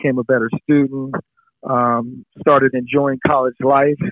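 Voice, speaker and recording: In an American accent, a man talks at a moderate pace with a medium pitch and monotone, flat intonation. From San Diego, California. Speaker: retired football player. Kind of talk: interview, casual storytelling.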